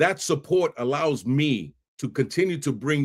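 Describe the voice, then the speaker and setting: A fairly high-pitched man with a New York accent and an animated tone, ordinary pitch variation, on a very clean recording with a silent background. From New York City (Bronx, Brooklyn). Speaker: podcast host. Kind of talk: podcast intro monologue. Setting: live stream.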